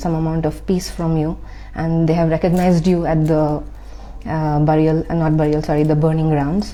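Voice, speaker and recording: Soft-spoken and monotone, a woman with a very deep, low pitch talks at a moderate pace amid audible room echo. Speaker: spiritual content creator. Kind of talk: personal testimony. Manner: halting, many fillers.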